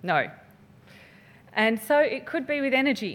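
A woman with an Australian accent and lively intonation. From Western Australia (Perth). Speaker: finance researcher. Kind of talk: lecture.

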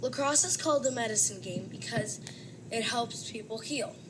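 Against noticeable background noise, a woman speaks with a medium pitch. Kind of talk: casual sports analysis.

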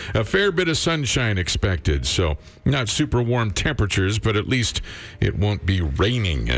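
A man with a Canadian accent speaks at a moderate pace and a fairly low pitch, his pitch swinging very widely while his loudness stays very even. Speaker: radio host. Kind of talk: morning radio show. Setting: studio.

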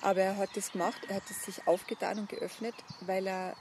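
A woman at a medium pitch speaks with monotone, flat intonation at a moderate pace, with noticeable background noise. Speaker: buddhist nun. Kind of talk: interview conversation. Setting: outdoors. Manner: halting. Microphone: poor sound quality.

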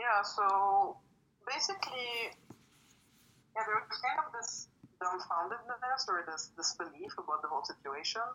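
Very wide pitch swings and long, frequent pauses mark the moderately paced speech, heard over noticeable background noise. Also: woman, fairly high pitch for a woman. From Lebanon. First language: French. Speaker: poet. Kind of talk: casual interview.

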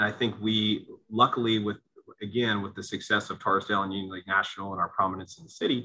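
A man with an American accent talks at a very fast pace, his loudness swinging widely. His pitch is fairly low and his intonation stays flat and monotone. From Pennsylvania, Lehigh Valley (Allentown). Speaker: golf club director. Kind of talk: interview conversation.

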